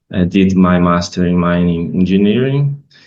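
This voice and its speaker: A man speaks with a Brazilian Portuguese accent. The background is quiet. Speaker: professor. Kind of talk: conference presentation. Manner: halting.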